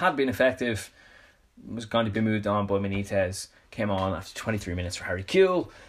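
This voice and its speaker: A man with a Dublin accent and fairly low pitch, at a moderate pace with ordinary pitch variation, on a very clean recording with a silent background. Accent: Dublin Irish. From Dublin, Ireland. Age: 20s. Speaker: podcast host and football coach. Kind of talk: solo podcast monologue.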